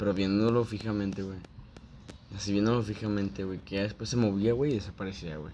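Fairly even intonation carries this speech along at a fairly quick pace. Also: man. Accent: Mexican. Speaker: childhood friend of the host. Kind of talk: casual chat.

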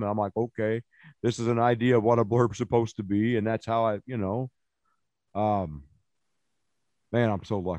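A man with an American accent speaks at a fairly quick pace and medium pitch, the sound dry and close with no echo against a quiet background. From Illinois. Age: 40s. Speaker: poet. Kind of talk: casual chat.

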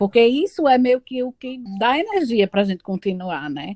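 A woman talks in a plain, everyday voice, fairly high in pitch, with lively intonation and a fairly quick pace, in a dry, close sound with no echo. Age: 30s. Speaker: teacher. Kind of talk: casual chat. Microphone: poor audio quality.

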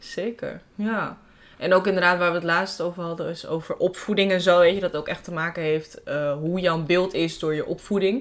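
A woman speaks with an ordinary speaking voice. Her pitch is fairly low and her intonation fairly even. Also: moderate pace. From Amsterdam Bijlmer, Netherlands. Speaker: podcast host. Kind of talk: casual chat.

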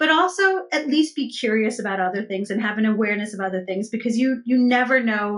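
In an American accent, a woman with an unremarkable speaking voice talks at a fairly high pitch with lively intonation. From US Northeast (New York), Gujarati family. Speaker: business advisor and author. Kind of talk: interview.

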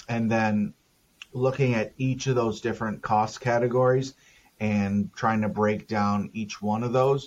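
A man with an American accent speaks in an ordinary speaking voice at a fairly slow pace, medium in pitch with fairly even intonation, against a quiet background. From Minnesota. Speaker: planning software solution architect. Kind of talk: interview about technical work.

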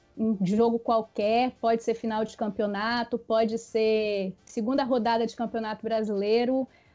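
Over music in the background, a woman with a fairly high pitch speaks at a fairly slow pace in a monotone, flat intonation, with hardly any pauses. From Espírito Santo, Brazil. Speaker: history teacher. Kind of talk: casual chat.

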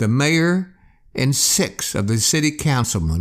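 Lively intonation in plain reading aloud

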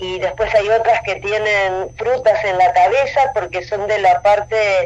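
Over noticeable background noise, a woman speaks at a fairly slow pace with a medium pitch and ordinary pitch variation. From Rosario, Argentina. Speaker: painter. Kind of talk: interview.

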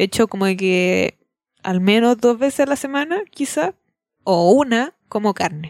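Speaking with a Chilean accent and lively intonation at a fairly slow pace, a woman is heard on a very clean recording with a silent background and a dry, close sound with no echo. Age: 20s. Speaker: podcast co-host. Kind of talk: casual chat.

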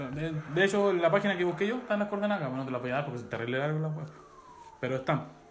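The speech comes at a very fast pace with ordinary pitch variation, audible room echo and noticeable background noise. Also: man. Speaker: podcast host. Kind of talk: casual chat.

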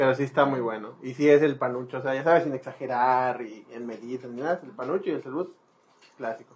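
Speaking at a fairly quick pace, a man with a plain, everyday voice shows big swings in loudness. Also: medium pitch for a man. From Mérida, Yucatán, Mexico. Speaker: podcast host. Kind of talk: casual chat.

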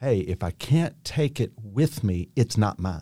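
Very slow speech from a man with a dark, mellow tone and an American accent, on a very clean recording with a silent background. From Kentucky, US. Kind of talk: faith-based conversation.

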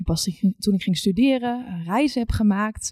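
Somewhat breathy, a woman speaks at a medium pitch with a dark, mellow tone and lively intonation. The sound is dry and close with no echo. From Netherlands, rural village. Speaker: recruitment account manager. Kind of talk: panel discussion.

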